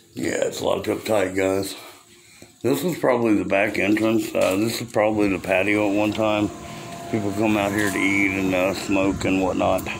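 Behind the speaker's fairly even intonation sits noticeable background noise. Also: man, fairly low pitch for a man, moderate pace. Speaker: explorer vlogger. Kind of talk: casual vlog chat. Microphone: phone near.

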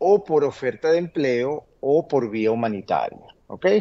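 A man speaks very slowly at a medium pitch. His tone is dark and mellow, his intonation lively. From Venezuela. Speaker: immigration lawyer. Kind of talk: interview Q&A, informative. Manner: hesitant, many fillers (eh, este). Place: home room. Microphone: webcam.

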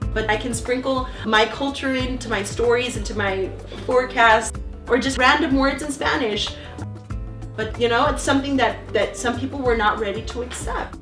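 A woman talks at a moderate pace with audible room echo. Clear music plays in the background. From Texas, Mexican-American. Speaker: TV meteorologist. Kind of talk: interview answer. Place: home room.

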